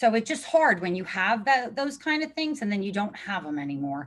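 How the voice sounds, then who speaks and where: With very wide pitch swings, a woman in a New Jersey accent speaks at a moderate pace and medium pitch in a very clean recording with a silent background. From New Jersey shore, Neptune City. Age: 50s. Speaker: zoning applicant, homeowner. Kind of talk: public hearing testimony. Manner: animated.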